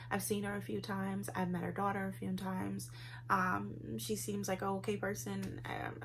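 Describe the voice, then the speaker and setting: Audible room echo surrounds a woman whose very deep, low voice shows vocal fry and very wide pitch swings. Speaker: vlogger. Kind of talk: casual vlog monologue. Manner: fast.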